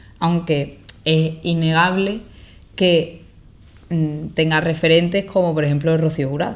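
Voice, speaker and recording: In an Andalusian accent, a woman speaks at a fairly low pitch and a fairly slow pace, with flat, monotone intonation and long, frequent pauses. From Andalusia, Spain. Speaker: content creator. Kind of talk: podcast interview answer. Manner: casual, conversational.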